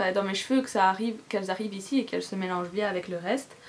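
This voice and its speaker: A woman talks at a fairly quick pace. Noticeable background noise sits behind her. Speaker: beauty vlogger. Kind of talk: casual haul vlog. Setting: cluttered room at home. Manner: fast.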